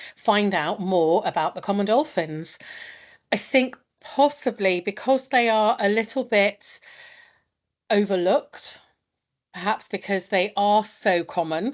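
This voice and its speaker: A woman talks at a fairly slow pace, leaving long, frequent pauses. Her medium pitch shows ordinary variation. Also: quiet background. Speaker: marine researcher presenting dolphin project. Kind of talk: webinar presentation. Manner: loud.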